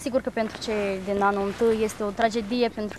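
Her voice is fairly high as the woman speaks at a fairly quick pace. The sound is dry with no echo, over light background noise. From Moldova. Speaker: university student; interviewee. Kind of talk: TV interview. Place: garden.

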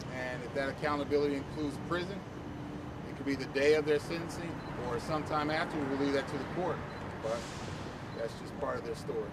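A man talks at a very fast pace. Loud background noise runs behind him. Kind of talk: interview answer. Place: street.

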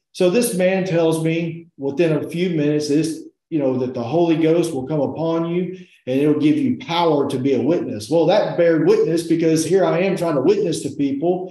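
In a dark, mellow tone, a man speaks at a moderate pace with ordinary pitch variation, and room echo is audible. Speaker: interview guest. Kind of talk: testimony interview answer. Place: home room. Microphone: video call.

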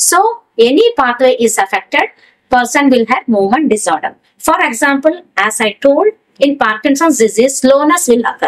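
A high-pitched woman's voice with lively intonation against a quiet background. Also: moderate pace. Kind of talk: lecture. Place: studio.

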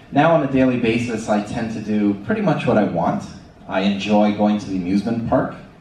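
A man with a Canadian accent speaks at a fairly low pitch with ordinary pitch variation, and there is audible room echo plus light background noise. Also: fairly quick pace. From Canada. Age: 30s. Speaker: ostomy patient speaker. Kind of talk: conference presentation. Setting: stage with audience. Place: hall. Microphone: pa.

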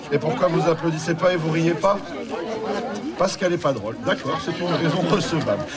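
Crowd noise fills the background. A man talks at a fairly quick pace. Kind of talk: stage banter to audience. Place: street. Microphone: camera far.

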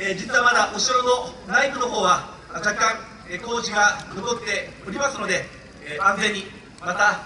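A man speaks in a raised, projected voice at a moderate pace with fairly even intonation, over light background noise and audible room echo. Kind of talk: formal ceremonial speech. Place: open country.

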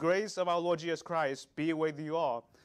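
Against a quiet background, a man with a high pitch speaks at a moderate pace. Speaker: lay preacher. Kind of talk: sermon. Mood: solemn, then prayerful. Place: church. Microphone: lapel.

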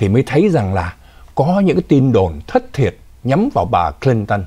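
The pitch swings very widely over a quiet background. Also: man. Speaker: news anchor. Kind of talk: news commentary. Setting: studio. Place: studio.

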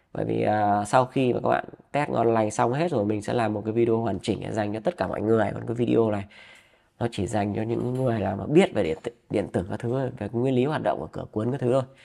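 A man at medium pitch talks at a very fast pace. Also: ordinary pitch variation. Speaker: DIY electronics YouTuber. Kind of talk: tutorial. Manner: halting, many fillers.

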